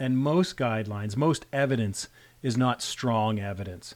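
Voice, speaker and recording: A man with an unremarkable speaking voice talks at a fairly slow pace, his pitch varying in an ordinary way. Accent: Canadian. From Canada. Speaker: rural emergency physician, medical educator. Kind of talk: interview discussion. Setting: video call.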